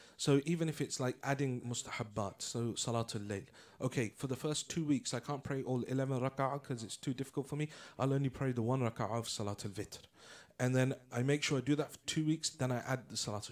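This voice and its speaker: At a very fast pace, a man with a British accent talks at a medium pitch with ordinary pitch variation, on a very clean recording with a silent background. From England. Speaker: Islamic lecturer. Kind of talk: religious lecture.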